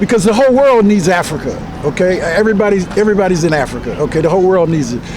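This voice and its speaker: A man talks in a high voice with ordinary pitch variation. Noticeable background noise and audible room echo are present. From Washington, D.C. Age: 70s. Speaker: community activist. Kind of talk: interview.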